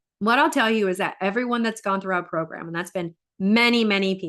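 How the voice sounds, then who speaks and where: With a normal speaking voice, a woman talks at a fairly quick pace, her fairly high pitch carried by lively intonation. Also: quiet background. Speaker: life coach. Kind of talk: live stream talk with coaching pitch.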